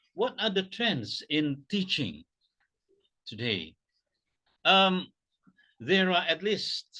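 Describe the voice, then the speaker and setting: Against a quiet background, a man speaks very slowly with an Indonesian accent. His tone is bright and sharp, and his intonation lively. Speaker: academic keynote speaker. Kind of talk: pre-recorded keynote lecture. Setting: pre-recorded presentation video. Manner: halting, many fillers.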